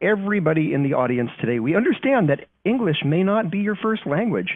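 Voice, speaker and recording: A man with a Californian accent speaks at a moderate pace. His pitch is high, with very wide pitch swings. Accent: California. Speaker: company trust strategist presenting webinar. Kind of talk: webinar briefing. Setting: recorded online webinar.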